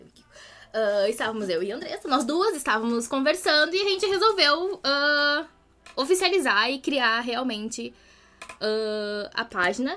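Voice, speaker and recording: A woman's raised, projected voice at a high pitch, with very wide pitch swings, big shifts in loudness and a fairly slow pace, over noticeable background noise. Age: 20s. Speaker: history teacher. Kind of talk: casual interview.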